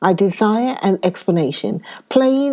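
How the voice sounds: A natural reading voice comes through in this clip.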